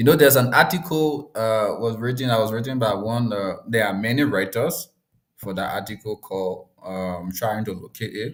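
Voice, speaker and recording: This voice carries a Liberian accent and ordinary pitch variation. It moves at a moderate pace. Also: man, medium pitch for a man. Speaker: discussion host. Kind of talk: live discussion. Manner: halting, many repetitions.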